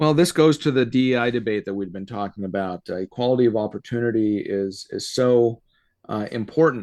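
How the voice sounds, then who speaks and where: Against a quiet background, a man with an unremarkable speaking voice talks at a fairly quick pace, medium in pitch with ordinary pitch variation. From Canada (born in Soviet Union). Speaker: constitutional lawyer. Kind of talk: interview.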